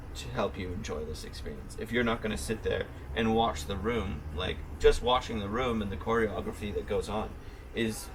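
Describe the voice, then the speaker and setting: Noticeable background noise sits behind this voice. A man with a fairly low pitch talks at a fairly quick pace. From Ontario, Canada. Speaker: chef and restaurant owner. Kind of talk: interview answer. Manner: casual, conversational.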